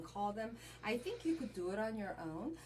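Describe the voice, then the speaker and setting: Speaking with a Korean accent, a woman talks at a fairly quick pace with lively intonation and a fairly high pitch. Noticeable background noise is present. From Korea, moved to US at twelve. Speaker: credit repair specialist. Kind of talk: interview conversation.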